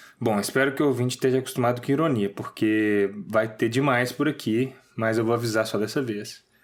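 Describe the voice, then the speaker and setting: A man with a Minas Gerais accent talks at a fairly quick pace and medium pitch, with fairly even intonation and hardly any pauses. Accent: mineiro. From Minas Gerais, Brazil. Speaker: podcast co-host. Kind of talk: casual humorous commentary.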